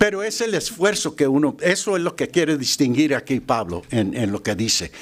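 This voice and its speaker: Using an English accent, a man with a fairly high pitch and vocal fry moves through very wide pitch swings. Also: moderate pace. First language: English (speaking Spanish). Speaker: lay preacher. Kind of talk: sermon. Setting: church. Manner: halting, with fillers and repetitions.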